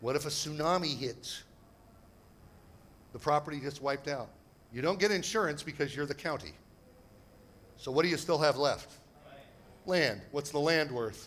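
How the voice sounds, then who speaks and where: With long, frequent pauses, a man at a fairly high pitch speaks at a moderate pace in an animated tone with ordinary pitch variation. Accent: American. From United States. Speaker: property investment seminar speaker. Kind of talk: seminar presentation. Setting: stage with audience.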